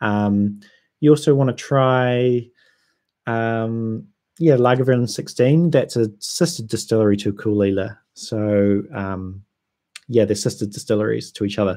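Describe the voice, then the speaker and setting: In a New Zealand accent, a man speaks fairly slowly in a dark, mellow, medium-pitched voice with ordinary pitch variation, on a very clean recording with a silent background. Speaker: whisky YouTuber. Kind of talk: livestream chat. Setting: livestream. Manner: casual, hesitant with ums.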